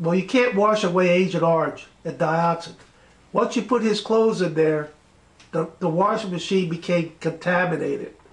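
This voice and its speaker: Speech at a moderate speed, pitch varying in an ordinary way, against noticeable background noise. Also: man, high pitch for a man. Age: 70s. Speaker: interviewer, retired base worker. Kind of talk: interview.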